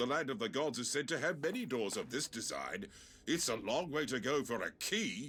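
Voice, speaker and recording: A man uses a put-on character voice at a fairly high pitch and moderate pace, with faint music in the background. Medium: video game. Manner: formal, measured.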